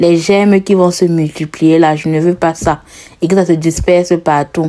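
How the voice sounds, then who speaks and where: In a strong Cameroonian accent, a woman speaks fairly slowly at a fairly low pitch, with fairly even intonation. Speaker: lifestyle vlogger. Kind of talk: cooking vlog narration. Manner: casual, chatty.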